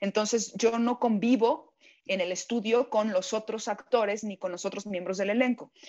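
A normal speaking voice from a woman, fairly high-pitched, with fairly even intonation and a moderate pace. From Mexico. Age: 40s. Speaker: voice actress. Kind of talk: interview.

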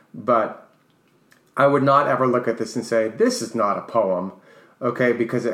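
In an unremarkable speaking voice, a man with an American accent talks at a medium pitch and a fairly quick pace with ordinary pitch variation. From New York. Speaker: co-host, English teacher and author. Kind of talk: casual chat.

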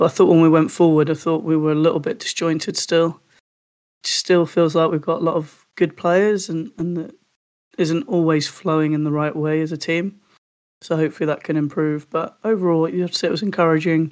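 Fairly quick and fairly high-pitched, a man talks in an ordinary speaking voice with fairly even intonation. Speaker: podcast host. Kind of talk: casual football podcast chat.

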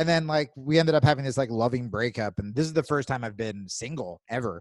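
With a normal speaking voice, a man speaks with an American accent and lively intonation, the sound dry and close with no echo. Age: 30s. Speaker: stand-up comedian. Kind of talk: casual chat.

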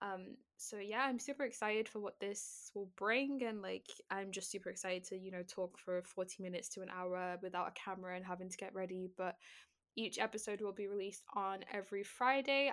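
This woman has an unremarkable speaking voice at medium pitch, with ordinary pitch variation and a fairly quick pace. The recording is very clean, with a silent background. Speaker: podcast host and streamer. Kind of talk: podcast trailer, casual monologue. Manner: casual, chatty, filler words.

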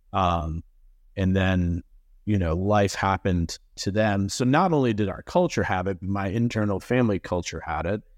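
In a normal speaking voice, a man with an American accent talks at a moderate pace with fairly low pitch and ordinary pitch variation against a quiet background. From Massachusetts. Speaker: real estate business owner. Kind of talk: panel interview.

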